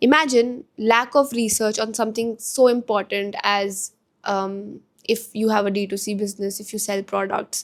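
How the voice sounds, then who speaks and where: In an Indian accent, a woman speaks at a fairly high pitch and a moderate pace. Her intonation is fairly even while her loudness swings widely, on a very clean recording with a silent background. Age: 20s. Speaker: entrepreneur. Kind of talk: casual talk to camera.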